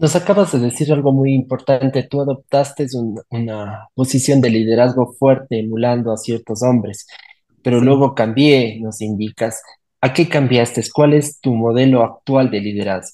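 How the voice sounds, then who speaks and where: A man speaks at a moderate pace and a medium pitch. His tone is dark and mellow, with ordinary pitch variation. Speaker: podcast host. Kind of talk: scripted narration; interview.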